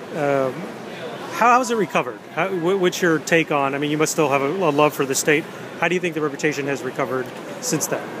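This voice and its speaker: Amid noticeable background noise and audible room echo, a man with an American accent talks at a very fast pace in a fairly high pitch with ordinary pitch variation. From Florida. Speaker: blogger interviewer. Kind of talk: interview. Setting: bookstore.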